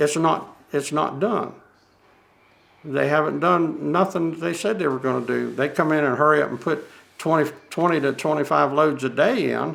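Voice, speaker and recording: A man with vocal fry and a fairly high pitch speaks at a moderate pace, using ordinary pitch variation. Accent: Southern US. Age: 70s. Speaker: landowner affected by waste spreading. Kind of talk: documentary interview. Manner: halting.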